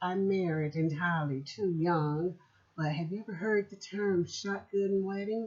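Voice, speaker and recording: A woman with an ordinary speaking voice talks at a fairly low pitch and a fairly slow pace, keeping her intonation fairly even. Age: 60s. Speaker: podcast host and author. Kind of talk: personal reflection podcast.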